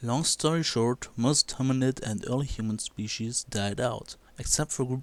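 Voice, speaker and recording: Fairly even intonation marks this man's speech, delivered with a non-native accent. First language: not English. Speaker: video blogger. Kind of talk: video commentary.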